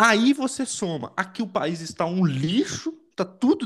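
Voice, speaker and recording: This man speaks with lively intonation. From Brazil. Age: 20s. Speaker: podcast co-host. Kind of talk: casual political discussion. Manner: halting.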